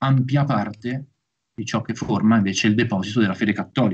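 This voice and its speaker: Ordinary pitch variation marks a man's somewhat breathy delivery. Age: young. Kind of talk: lecture. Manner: formal. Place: home room. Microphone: video call.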